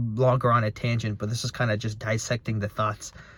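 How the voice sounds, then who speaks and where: A man's somewhat breathy voice at a very fast pace. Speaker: motivational vlogger. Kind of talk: casual monologue. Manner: halting with many repetitions.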